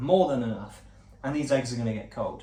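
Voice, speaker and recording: A man talks over noticeable background noise, with audible room echo. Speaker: vlogger, former actor. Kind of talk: casual vlog monologue. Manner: fast; stumbling over words.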